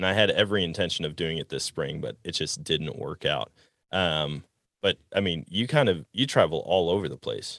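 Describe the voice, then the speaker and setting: In a very clean recording with a silent background, a man with an American accent sounds dry and close with no echo. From Wisconsin. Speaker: outdoors podcast host. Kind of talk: casual interview chat. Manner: animated.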